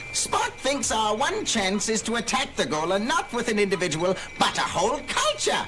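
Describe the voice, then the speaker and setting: Loud background noise sits behind a put-on character voice with fairly high pitch. The speech moves at a moderate pace with hardly any pauses. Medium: audio drama.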